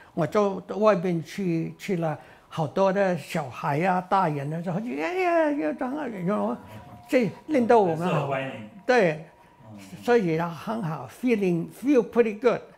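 At a very slow pace, a man with a high pitch speaks with lively intonation. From Taishan, Guangdong, China. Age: 80s+. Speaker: war veteran, aircraft ground mechanic. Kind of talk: interview answer. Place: home room. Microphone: lapel.

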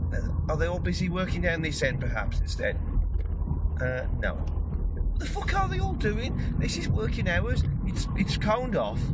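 At a moderate speed, the talking sits on top of loud background noise. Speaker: vlogger driving and filming. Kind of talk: angry rant, sweary vlog. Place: car. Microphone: phone near.

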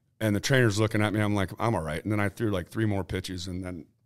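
Against a quiet background, a man with an American accent talks at a very fast pace. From Ohio, US Midwest. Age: 50s. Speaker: retired baseball pitcher; guest. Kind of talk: casual interview chat. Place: meeting room. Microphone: studio mic.

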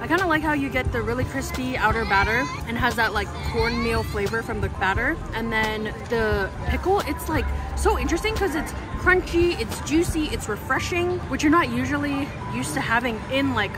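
Over clear music in the background, a woman talks at a moderate pace, the sound dry with no echo. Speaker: food vlogger. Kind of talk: casual vlog food review. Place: street. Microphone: phone near.

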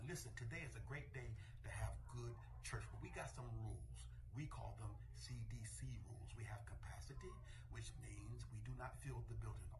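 The delivery is monotone, with flat intonation. Background noise is noticeable throughout. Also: man, very deep, low pitch for a man, moderate pace. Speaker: senior pastor. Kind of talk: church announcement. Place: office. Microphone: phone near.

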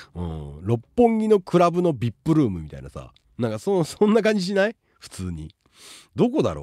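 Dry sound with no echo from a male speaker, the background quiet. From Tokyo, Japan. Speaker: live streamer and advice giver; live streamer. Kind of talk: casual livestream chat. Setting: live stream with chat. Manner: rapid run-on speech. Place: home room. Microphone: studio mic.

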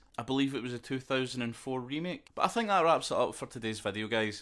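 A man with a Scottish accent talks at a very fast pace. His pitch is medium, and the recording is very clean with a silent background. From Scotland. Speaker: YouTube lore commentator. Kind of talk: casual lore commentary to camera.

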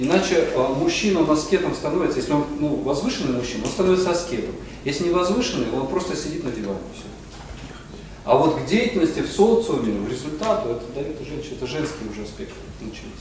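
A man's fairly high voice at a very fast pace, with very wide pitch swings, big swings in loudness and noticeable background noise. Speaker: lecturer on relationships. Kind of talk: lecture. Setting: stage with audience. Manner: interactive, asks audience questions.

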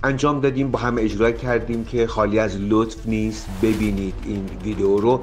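Over noticeable background noise, a man with a medium pitch speaks at a moderate pace, with fairly even intonation and hardly any pauses. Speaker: TV talk show host. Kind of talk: TV show introduction.

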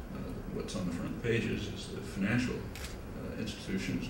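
There is audible room echo and noticeable background noise. A man speaks at a fairly quick pace. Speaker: guest lecturer. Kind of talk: lecture. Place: hall. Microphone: podium.

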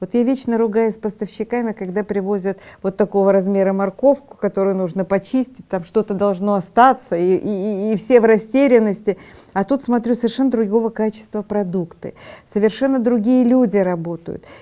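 A woman talks at a moderate pace with ordinary pitch variation and a dark, mellow tone. The background is quiet. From Odesa, Ukraine. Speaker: TV talk show host. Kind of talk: TV panel discussion. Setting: studio. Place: studio. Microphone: lapel.

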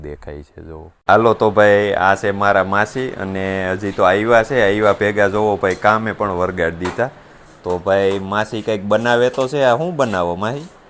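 A man with a fairly low pitch and a plain, everyday voice talks with big swings in loudness. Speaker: farming vlogger. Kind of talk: casual vlog narration.

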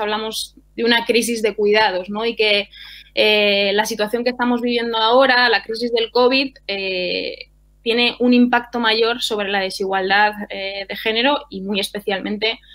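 Over a quiet background, a woman speaks with monotone, flat intonation. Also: moderate pace. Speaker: speaker, politician. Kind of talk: conference talk. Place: home room.

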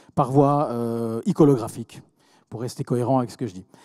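Over a quiet background, a man talks with a dark, mellow tone. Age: 40s. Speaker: entrepreneur; speaker. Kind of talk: conference talk. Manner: halting, many repetitions. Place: hall. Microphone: handheld.

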